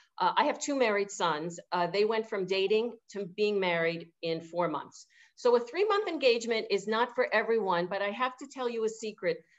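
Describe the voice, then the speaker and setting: A woman with a New York accent talks at fairly high pitch with lively intonation and hardly any pauses. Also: moderate pace. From New York City (Manhattan). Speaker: event venue owner. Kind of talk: interview. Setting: video call. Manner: halting, many fillers.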